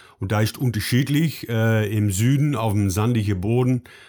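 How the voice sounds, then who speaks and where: In a Dutch accent, a man with a dark, mellow tone speaks at a moderate pace and a fairly low pitch with ordinary pitch variation, on a very clean recording with a silent background. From Netherlands. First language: Dutch (speaking German). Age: 50s. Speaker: dairy farming advisor. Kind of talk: interview. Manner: halting, many fillers.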